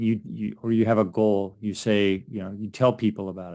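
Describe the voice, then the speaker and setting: The pace is moderate in an ordinary speaking voice. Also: man, very clean recording, silent background. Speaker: podcast interviewer. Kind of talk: interview host talk.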